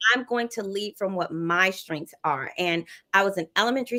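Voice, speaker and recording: A woman talks at a moderate pace with a Southern US accent. Her tone is bright and sharp, her pitch swings very widely, and the sound is dry and close with no echo. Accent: Southern US, lasting. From US South. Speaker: educator and non-profit leader. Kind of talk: interview conversation. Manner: bubbly, cheerful.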